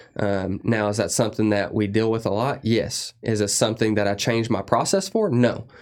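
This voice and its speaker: The recording is very clean with a silent background as a man with medium pitch speaks at a moderate pace in an ordinary speaking voice. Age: 30s. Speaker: industrial service technician and lubrication consultant. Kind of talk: casual interview.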